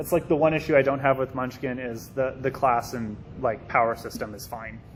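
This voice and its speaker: Speaking at a fairly quick pace, a man with a medium-pitched voice keeps his intonation fairly even while his loudness swings widely. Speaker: convention panelist. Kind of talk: convention panel talk. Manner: fast; informal.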